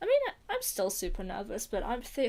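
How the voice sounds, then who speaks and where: A high-pitched woman's voice with an American accent. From United States. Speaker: streamer and script writer. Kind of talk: casual live stream chat. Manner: halting, stammering.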